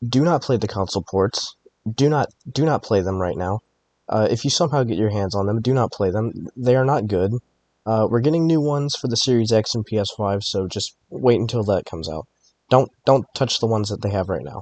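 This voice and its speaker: A man with an ordinary speaking voice talks at a fairly quick pace, medium pitch and lively intonation. The sound is dry and close with no echo. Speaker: gaming video essayist. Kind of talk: video essay narration. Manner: casual, informal.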